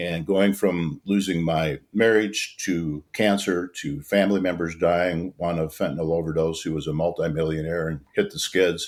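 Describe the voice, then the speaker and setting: A man with an American accent, very deep and low in pitch, his intonation fairly even, with hardly any pauses. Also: moderate pace. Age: 70s. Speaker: non-profit founder. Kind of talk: podcast interview. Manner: halting.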